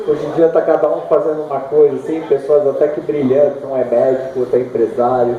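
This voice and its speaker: Over noticeable background noise, a man talks at a fairly quick pace with hardly any pauses. His pitch is fairly high and his intonation fairly even. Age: 50s. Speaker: surfer and author. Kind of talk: book launch talk. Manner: casual, halting.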